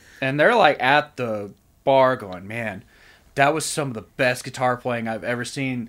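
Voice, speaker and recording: Heard in a very clean recording with a silent background, a man with an unremarkable speaking voice at medium pitch shows ordinary pitch variation. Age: 30s. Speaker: musician. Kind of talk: casual chat.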